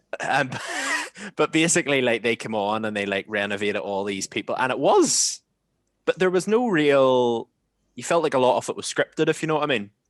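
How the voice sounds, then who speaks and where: Recorded with a dry, close sound and no echo, a man with a Northern Irish accent talks at a fairly quick pace and medium pitch, his intonation lively. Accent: Northern Irish (Ballymena, Ulster Scots). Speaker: podcast host. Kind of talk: casual chat. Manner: animated.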